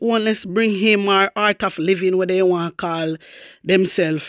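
With a Jamaican accent, a woman talks at a moderate pace in a medium-pitched, animated voice with ordinary pitch variation, recorded dry and close with no echo against a silent background on a very clean recording. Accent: Jamaican Patois-inflected English. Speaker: YouTube news commentator. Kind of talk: casual news commentary vlog.

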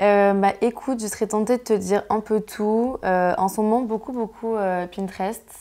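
Against a quiet background, a woman with a dark, mellow tone and fairly high pitch talks with fairly even intonation and hardly any pauses. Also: moderate pace. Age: 20s. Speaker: fashion blogger; interviewee. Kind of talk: casual interview. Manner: hesitant, many fillers. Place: home room.

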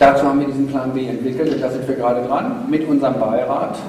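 Over light background noise and audible room echo, a man talks in a fairly high voice. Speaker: economics lecturer and speaker. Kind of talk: lecture. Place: hall.

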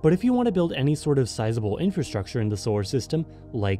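Music plays behind a man whose pitch swings very widely. The sound is dry, with no echo. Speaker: guest. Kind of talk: commentary.

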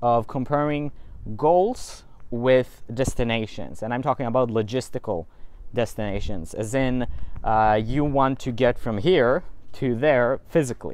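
Recorded dry with no echo, a man talks at a fairly slow pace with ordinary pitch variation. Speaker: self-help vlogger. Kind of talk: casual vlog chat. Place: street. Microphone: earbuds.

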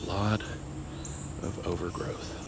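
A man's voice sounds dry with no echo, and there is noticeable background noise. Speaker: explorer vlogger. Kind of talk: casual vlog chat. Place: garden. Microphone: phone near.

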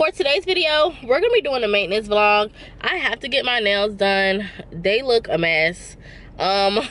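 A woman at a moderate pace, in a dry sound with no echo. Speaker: vlogger. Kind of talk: casual vlog chat. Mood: playful, laughing. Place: car. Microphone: phone near.

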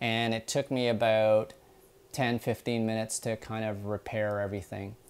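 This man talks at a moderate pace in a monotone, flat intonation. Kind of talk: tutorial. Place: kitchen. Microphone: lapel.

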